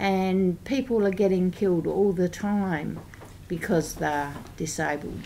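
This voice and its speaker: Fairly slow speech from a woman with an Australian accent, fairly low in pitch, dark and mellow in tone, with ordinary pitch variation. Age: 60s. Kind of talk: parliamentary briefing speech. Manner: hesitant with frequent ums.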